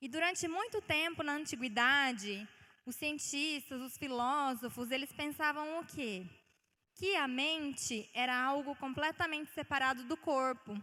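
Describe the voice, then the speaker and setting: A woman with a high pitch speaks in a raised, projected voice with a bright, sharp tone and ordinary pitch variation. Her pace is fairly slow, on a very clean recording with a silent background. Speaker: guest preacher. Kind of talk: sermon. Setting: church.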